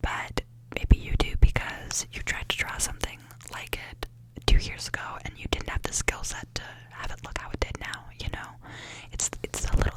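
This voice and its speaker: A woman whispers at a moderate pace, and noticeable background noise is heard around her. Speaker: ASMR creator. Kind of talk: ASMR affirmations, soft personal talk to the listener. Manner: soft-spoken, gentle, caring.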